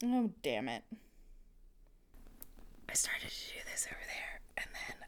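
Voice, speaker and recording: The speaker is whispering. Long pauses come often. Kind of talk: ASMR whisper ramble. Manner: whispered; casual, rambling.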